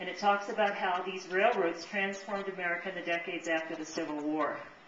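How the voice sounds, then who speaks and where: Over noticeable background noise and audible room echo, a woman of medium pitch speaks at a fairly quick pace with ordinary pitch variation. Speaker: librarian. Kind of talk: book talk presentation. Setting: audience in a room. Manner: fast.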